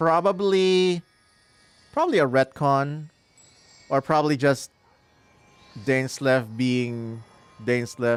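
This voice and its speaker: A man with a Filipino accent talks at a very slow pace, his pitch fairly high and varying in an ordinary way. His loudness stays very even, the sound is dry and close with no echo, and long pauses come often. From Philippines. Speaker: gaming streamer. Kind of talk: live gameplay commentary. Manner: casual, reacting to chat.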